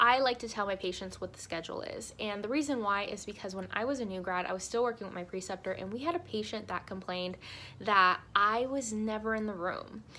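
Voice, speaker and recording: A bright, sharp tone with ordinary pitch variation at a fairly quick pace. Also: woman, medium pitch for a woman. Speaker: nurse and video creator. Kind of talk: casual tutorial vlog.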